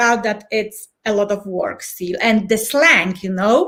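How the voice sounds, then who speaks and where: A woman with a Polish accent talks at a fairly high pitch with ordinary pitch variation. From Poland. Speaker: change and transition coach. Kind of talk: podcast interview. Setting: live video podcast.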